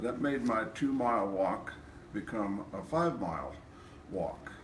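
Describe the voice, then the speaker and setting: Over noticeable background noise and audible room echo, a man talks at a fairly slow pace in a medium pitch with lively intonation. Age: 70s. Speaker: chiropractic patient. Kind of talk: testimony.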